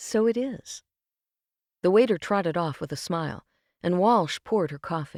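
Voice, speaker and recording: Lively intonation and vocal fry come at a moderate pace. The sound is dry and close with no echo, on a very clean recording with a silent background. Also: woman. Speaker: voice actor, audiobook narrator. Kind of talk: audiobook narration, fiction reading.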